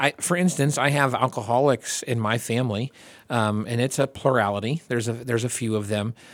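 Medium in pitch, a man talks in an ordinary speaking voice at a fairly quick pace with ordinary pitch variation, the sound dry and close with no echo. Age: 40s. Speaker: podcast host. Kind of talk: casual chat.

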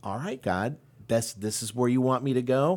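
A normal speaking voice at a fairly quick pace, in a very clean recording with a silent background. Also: man. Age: 50s. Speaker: church member sharing life story. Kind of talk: testimony.

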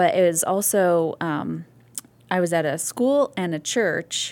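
On a very clean recording with a silent background, a woman speaks at a very slow pace. Her fairly low voice carries lively intonation. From US Northeast/Midwest (New York, Ohio). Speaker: pastor's wife and mother. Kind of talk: testimony. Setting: podcast interview.

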